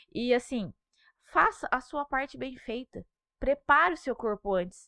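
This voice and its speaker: Raising and projecting her high voice, a woman speaks fairly slowly with a bright, sharp tone and lively intonation. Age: 30s. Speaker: pregnant mother, social media creator. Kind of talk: podcast interview.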